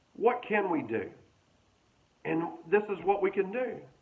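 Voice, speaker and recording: A man's high-pitched voice carries lively intonation. Room echo is audible. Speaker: pastor. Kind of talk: sermon.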